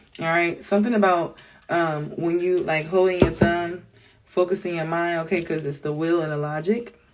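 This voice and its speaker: Noticeable background noise behind a woman's fairly even intonation. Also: fairly low pitch for a woman. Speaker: tarot reader. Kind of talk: tarot reading. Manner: fast; casual.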